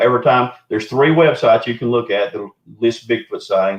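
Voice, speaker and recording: The speech comes at a very fast pace. It carries a Southern US accent. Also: man. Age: 60s. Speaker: Bigfoot researcher. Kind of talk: casual chat. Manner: animated.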